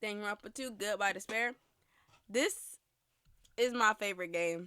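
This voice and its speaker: A woman's medium-pitched voice, bright and sharp in tone, with ordinary pitch variation at a moderate pace. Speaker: gaming commentary creator. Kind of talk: casual monologue. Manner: hesitant with fillers and restarts.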